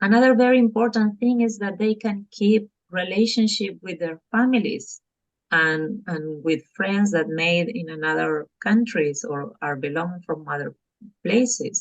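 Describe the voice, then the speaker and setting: Spoken at a fairly slow pace, this voice has lively intonation and a Spanish accent. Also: woman, medium pitch for a woman. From Argentina. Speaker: parent coach. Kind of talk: podcast interview. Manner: halting, with fillers.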